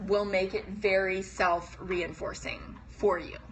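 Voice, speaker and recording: A woman's voice amid noticeable background noise. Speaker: business coach. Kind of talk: live stream talk to viewers. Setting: live video stream.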